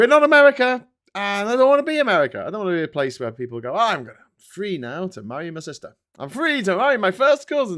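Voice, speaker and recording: A man speaks very fast at a high pitch, with very wide pitch swings and big swings in loudness. The recording is very clean, with a silent background. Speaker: political commentator and live streamer. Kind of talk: casual live-stream commentary. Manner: conversational, irreverent, rambling.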